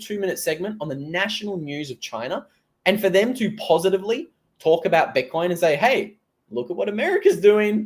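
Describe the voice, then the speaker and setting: Speaking at a fairly quick pace, a man with an Australian accent has a high pitch. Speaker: crypto commentator. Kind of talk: live stream commentary. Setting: live stream. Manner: casual, conversational.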